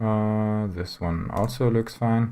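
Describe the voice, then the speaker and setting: Someone speaks at a very slow pace with a German accent. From Germany. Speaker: streamer, programmer. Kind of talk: live coding stream. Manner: halting.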